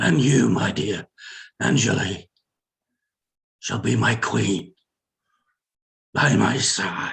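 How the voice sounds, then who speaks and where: In a put-on character voice, a man growls out raspy, very deep, low tones at a very slow pace, with very wide pitch swings and long, frequent pauses. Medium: audio drama. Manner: grandiose, proclamatory.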